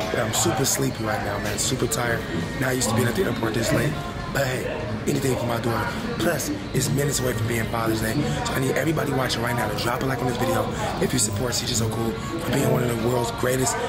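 Over loud background music, a man talks at a very fast pace. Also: ordinary pitch variation. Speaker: vlogger. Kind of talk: casual vlog chat. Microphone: phone near.

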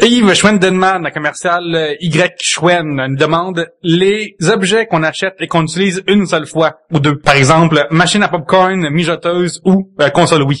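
Pitched high, a man with a Quebec accent speaks at a fairly slow pace with fairly even intonation. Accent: Québécois French. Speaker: podcast co-host. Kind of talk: casual chat.

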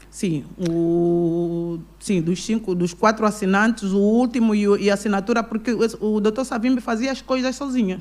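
Using a plain, everyday voice, a woman talks at a moderate pace with hardly any pauses, her fairly high pitch showing ordinary variation. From Angola, Kwanza Sul; Angola. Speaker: businesswoman and pastor; pastor. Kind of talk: interview. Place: studio. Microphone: studio mic.

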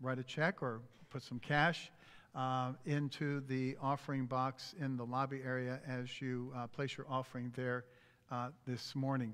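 Monotone and flat, a man speaks at a fairly slow pace. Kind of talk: church announcements. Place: church.

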